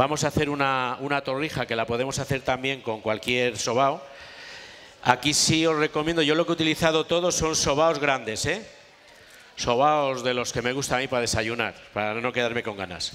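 Ordinary pitch variation marks this man's speech at a moderate pace. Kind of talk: cooking demonstration talk. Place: tent. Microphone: headset.

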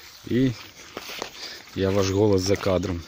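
Over light background noise, a man speaks in a dry sound with no echo. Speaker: village life vlogger and gardener. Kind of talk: narrated walking tour of a vegetable garden. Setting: outdoors in a garden. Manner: casual, chatty with hesitations. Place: garden. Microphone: phone near.

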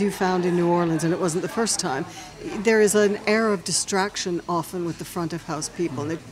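Over crowd noise in the background, a woman talks with fairly even intonation. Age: 60s. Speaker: podcast host. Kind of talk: interview. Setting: restaurant. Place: cafe. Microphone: studio mic.

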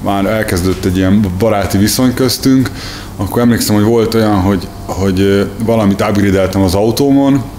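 Light background noise sits behind a man speaking at a moderate pace. His voice is fairly low, with fairly even intonation and very even loudness. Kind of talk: interview answer. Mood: friendly, reminiscing. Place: workshop.

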